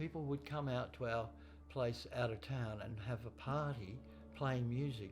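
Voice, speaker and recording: Against music in the background, a man in an Australian accent speaks at medium pitch and a moderate pace with lively intonation. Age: 60s. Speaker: drummer. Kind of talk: interview monologue.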